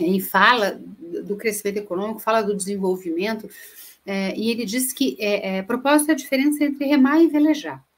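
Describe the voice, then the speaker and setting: Speaking with a Minas Gerais accent, this woman has a voice of fairly high pitch. Her pitch sits fairly high for a woman. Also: lively intonation, fairly quick pace. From Minas Gerais, Brazil. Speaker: speaker on corporate sustainability. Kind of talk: webinar presentation. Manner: hesitant, many fillers.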